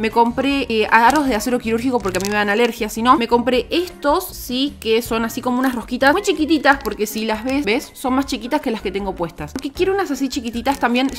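A high-pitched woman's voice with ordinary pitch variation and hardly any pauses, over light background noise. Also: fairly quick pace. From Buenos Aires, Argentina. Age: 20s. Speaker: YouTuber. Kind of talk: casual haul talk to camera. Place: home room. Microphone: studio mic.

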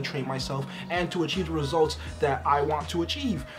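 There is faint background music. Over it, a man talks. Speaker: vlogger. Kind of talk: casual vlog chat. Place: home room. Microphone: phone near.

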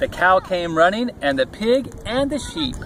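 Over faint background noise, a man talks at a moderate pace with lively intonation. His voice is high-pitched with a fairly bright tone.

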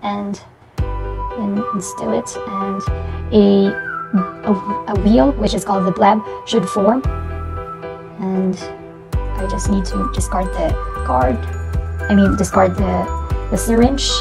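With clear music in the background, a woman speaks at a very slow pace with long, frequent pauses. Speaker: student nurse. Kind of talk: instructional demonstration narration. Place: home room. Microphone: lapel.

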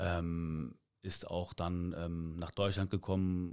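A man's dark, mellow tone is heard against a quiet background. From Cologne area, Germany; Germany. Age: 30s. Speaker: amateur football coach. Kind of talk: casual interview. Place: studio. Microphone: studio mic.

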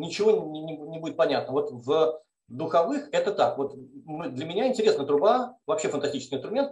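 A man talks at a very fast pace, with audible echo from the room. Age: 40s. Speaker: mathematics professor. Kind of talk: testimony. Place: kitchen. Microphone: video call.

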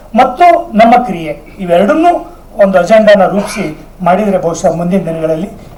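A man speaks in a high pitch with ordinary pitch variation. Noticeable background noise and audible room echo surround his voice. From northern Karnataka, near Basavana Bagewadi. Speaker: writer and speaker on Sharana culture. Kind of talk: public speech at a seminar.

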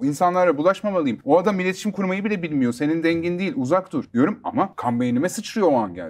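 A man talks at a very fast pace with hardly any pauses. His high-pitched voice has lively intonation. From Istanbul, Turkey; Turkey. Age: 30s. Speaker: rapper and music producer; interview guest. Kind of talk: interview. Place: studio. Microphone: lapel.

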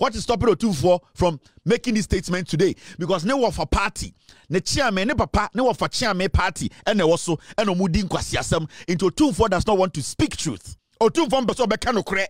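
A man with a high voice speaks very fast in an animated tone with lively intonation. The background is quiet and the sound is dry with no echo. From Ghana. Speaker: political commentator. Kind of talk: political rant. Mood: angry, combative. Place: studio. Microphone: studio mic.

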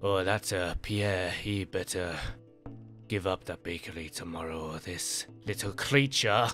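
Someone performs a put-on character voice while clear music plays in the background. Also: man, very deep, low pitch for a man, fairly slow pace. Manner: menacing, gloating.

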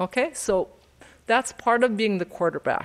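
In a quiet background, a woman's voice is heard. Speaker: nonprofit director; presenter. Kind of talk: event announcements. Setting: stage with audience. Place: hall. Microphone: podium.

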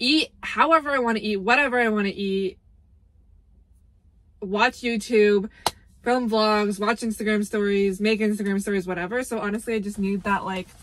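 A woman speaks with long, frequent pauses. Her intonation stays fairly even. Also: moderate pace. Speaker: vlogger. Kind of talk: casual vlog chat. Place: car. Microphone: phone near.

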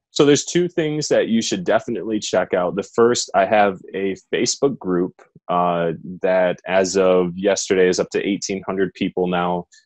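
A man speaks with an American accent. His pace is moderate, and the background is quiet. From US Midwest, southwest Michigan. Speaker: Paralympian and personal trainer; personal trainer. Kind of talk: interview. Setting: remote interview from home. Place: home room. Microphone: earbuds.

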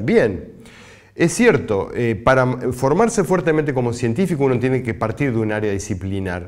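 The background is quiet as a man talks at a moderate pace. His pitch swings very widely. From Uruguay. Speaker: scientist; university lecturer. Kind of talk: recorded lecture. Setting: pre-recorded presentation, not physically present. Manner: halting, frequent filler sounds.

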